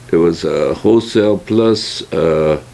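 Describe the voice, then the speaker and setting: With an American accent and ordinary pitch variation, a man talks over noticeable background noise. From California. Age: 80s+. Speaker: retired produce store owner. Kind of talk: oral history interview. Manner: halting, many fillers.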